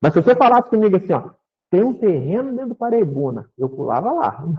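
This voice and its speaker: An animated, high-pitched man with very wide pitch swings. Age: 60s. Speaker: spiritist lecturer. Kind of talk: spiritist talk. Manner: conversational, animated.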